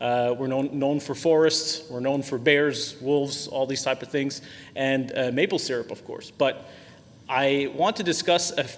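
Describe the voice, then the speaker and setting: Over noticeable background noise, a man with a Quebec accent talks fairly slowly at a fairly high pitch, his intonation fairly even. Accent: French Canadian accent in English. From Quebec, Canada. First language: French. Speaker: software sales executive. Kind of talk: webinar presentation. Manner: frequent filler words, hesitant.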